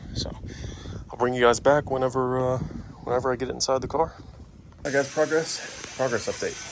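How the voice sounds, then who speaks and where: Noticeable background noise sits behind a man of medium pitch whose monotone, flat intonation comes with big swings in loudness. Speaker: car hobbyist YouTuber. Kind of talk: casual tutorial vlog. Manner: whispering.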